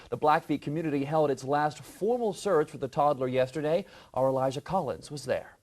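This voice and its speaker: Against a quiet background, a man talks at a fairly quick pace in an unremarkable speaking voice, his fairly high pitch varying in an ordinary way. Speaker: TV news anchor. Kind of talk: live morning news anchoring. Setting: studio.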